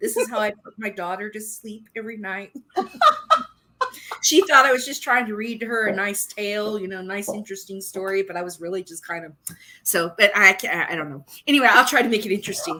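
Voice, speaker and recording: A woman talks at a fairly quick pace in an unremarkable speaking voice. Her pitch varies in an ordinary way while her loudness swings widely. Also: medium pitch for a woman. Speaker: podcast co-host.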